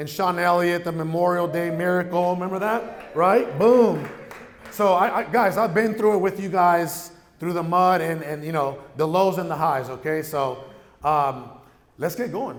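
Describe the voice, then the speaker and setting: A man with a high pitch is heard with audible room echo. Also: ordinary pitch variation, moderate pace. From Mexico, raised in San Diego area. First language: Spanish. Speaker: real estate entrepreneur, keynote speaker. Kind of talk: keynote speech. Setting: stage with audience. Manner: animated.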